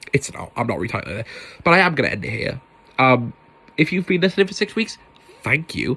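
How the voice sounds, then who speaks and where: A loud, animated man at a fairly high pitch with a bright, sharp tone and vocal fry, very fast speech, very wide pitch swings and long, frequent pauses. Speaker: podcast host. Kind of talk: casual solo podcast monologue.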